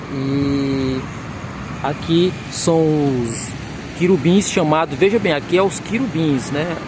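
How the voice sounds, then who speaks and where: A man with a fairly high-pitched voice and ordinary pitch variation. The room echo is audible, and background noise is noticeable. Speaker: video tour guide. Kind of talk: guided tour vlog. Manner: halting, many restarts.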